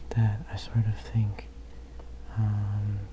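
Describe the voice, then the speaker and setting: Soft-spoken delivery set against noticeable noise in the background. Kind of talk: casual ramble to camera about favorite CDs. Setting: ASMR video.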